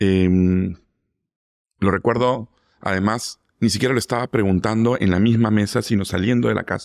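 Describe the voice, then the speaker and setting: A man at a fairly low pitch and moderate pace, with long, frequent pauses, fairly even intonation, very even loudness, a quiet background, and a dry sound with no echo. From Lima, Peru. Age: 40s. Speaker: food critic; interview guest. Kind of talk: interview. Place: studio. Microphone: studio mic.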